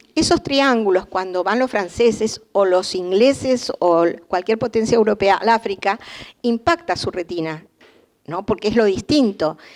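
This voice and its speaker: A woman with an unremarkable speaking voice speaks at a fairly slow pace, with a fairly high pitch and ordinary pitch variation. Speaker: art historian lecturer. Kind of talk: lecture.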